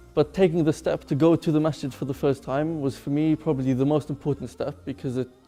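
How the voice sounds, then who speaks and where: Over music in the background, the speech runs at a very fast pace with hardly any pauses and fairly even intonation. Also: man, fairly high pitch for a man. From England. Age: 20s. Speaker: convert sharing his story. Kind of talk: testimony.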